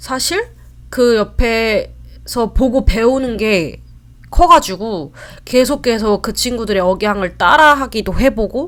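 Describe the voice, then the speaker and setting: A woman's fairly high voice, lively in intonation, at a very slow pace. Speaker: vlogger. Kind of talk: casual talk to camera. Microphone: new mic, set up wrong at start.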